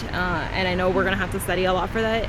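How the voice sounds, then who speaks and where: Over noticeable background noise and audible room echo, a woman with a Californian accent talks at a very fast pace. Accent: Californian American English. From Northern California. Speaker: study abroad student vlogger. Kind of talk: casual vlog chat.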